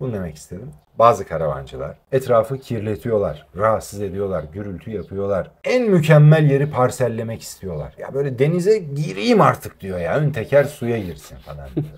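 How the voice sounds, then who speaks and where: The man's somewhat breathy voice sits at medium pitch, with very wide pitch swings and big swings in loudness. He keeps a moderate pace with hardly any pauses. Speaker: voice actor. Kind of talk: interview answer.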